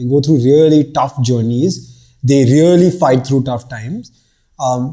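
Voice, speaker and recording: A man with a Bombay accent at a fairly slow pace. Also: medium pitch for a man, ordinary pitch variation. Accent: Bombay Indian English, unchanged. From India, Bombay. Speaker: startup founder. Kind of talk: casual chat.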